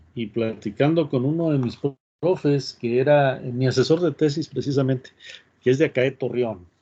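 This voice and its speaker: With a northern Mexican accent, a man speaks at a medium pitch in a dark, mellow tone. His pace is moderate and his pitch varies in an ordinary way. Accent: northern Mexican Spanish (Tamaulipas). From northern Mexico. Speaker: university professor. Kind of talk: online class, casual aside.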